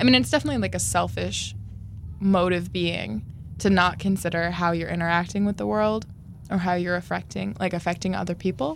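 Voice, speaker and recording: Her pitch swings very widely as this woman talks at a fairly quick pace. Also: fairly low pitch for a woman. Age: 20s. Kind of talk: casual chat. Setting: studio.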